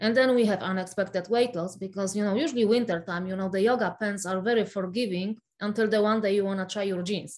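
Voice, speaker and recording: Speaking at a very fast pace with a Polish accent, a woman keeps a medium pitch and fairly even intonation. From Poland. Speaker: functional nutritionist. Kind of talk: interview.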